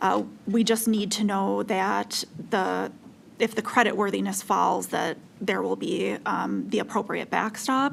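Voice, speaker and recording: Noticeable background noise runs behind the recording. A woman speaks at a very slow pace. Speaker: utility regulatory commissioner. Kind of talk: regulatory commission deliberation. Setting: public meeting. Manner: slow, deliberate; hesitant, many fillers.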